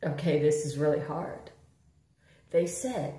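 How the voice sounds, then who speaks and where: A woman's dark, mellow voice carries vocal fry and sits in audible room echo. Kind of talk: casual vlog chat. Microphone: phone near.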